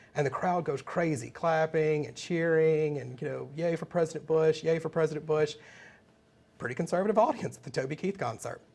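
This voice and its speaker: The speaker has a Southern US accent and a fairly quick pace. Pitch variation is ordinary. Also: man, fairly high pitch for a man. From US South, Mississippi. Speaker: political trainer. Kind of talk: webinar lecture. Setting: live webinar broadcast.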